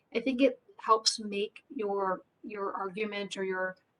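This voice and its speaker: In an ordinary speaking voice, a woman speaks at a medium pitch with fairly even intonation. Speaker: employer benefits panelist. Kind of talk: webinar panel discussion. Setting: webinar.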